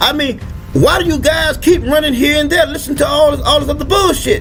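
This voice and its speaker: A man speaks with music in the background. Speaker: religious teacher. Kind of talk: sermon to camera.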